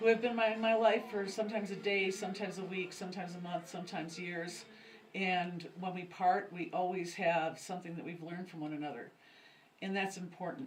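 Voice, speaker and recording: With audible room echo, a woman of medium pitch speaks at a fairly quick pace, her intonation fairly even but her loudness swinging widely. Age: 60s. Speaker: pagan high priestess. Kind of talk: interview. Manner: halting.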